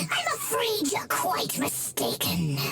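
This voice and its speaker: A put-on character voice speaks at a fairly slow pace. Loud background noise runs underneath. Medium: game stream.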